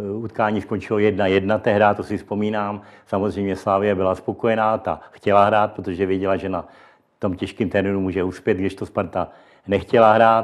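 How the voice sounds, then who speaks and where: At a moderate pace, a man speaks with a monotone, flat intonation. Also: fairly low pitch for a man. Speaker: former football referee. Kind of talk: interview. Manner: halting.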